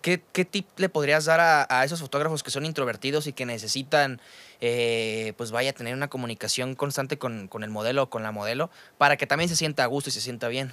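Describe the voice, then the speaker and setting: A man with a Mexican accent talks at a very fast pace in a medium-pitched voice with a bright, sharp tone, captured as a very clean recording with a silent background and a dry, close sound with no echo. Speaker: podcast host. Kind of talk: casual chat. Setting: studio.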